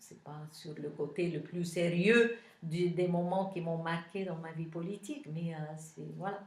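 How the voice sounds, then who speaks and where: Amid noticeable background noise and audible room echo, a woman with a Lebanese accent speaks fairly slowly in a fairly low pitch, her intonation fairly even and her loudness swinging widely. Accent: Lebanese, unchanged. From Lebanon. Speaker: politician. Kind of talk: interview. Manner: hesitant, many fillers.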